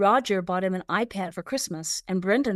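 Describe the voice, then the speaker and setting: A woman has an unremarkable speaking voice with ordinary pitch variation. She talks at a moderate pace in a dry, close sound with no echo. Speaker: memoir author narrating her own book. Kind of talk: audiobook-style memoir narration.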